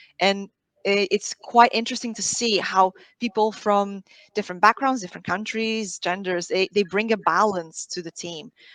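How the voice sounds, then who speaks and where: A woman with a Portuguese accent speaks at medium pitch and a moderate pace, with fairly even intonation, in a dry, close sound with no echo. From Portugal. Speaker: sales team leader. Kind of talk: panel discussion. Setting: live online stream.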